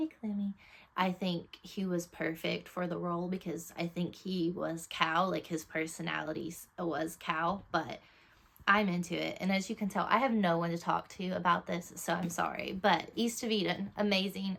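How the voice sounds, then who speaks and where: Vocal fry marks this voice, which moves at a moderate pace with fairly even intonation. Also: woman, fairly low pitch for a woman. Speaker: book reviewer. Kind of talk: casual chat.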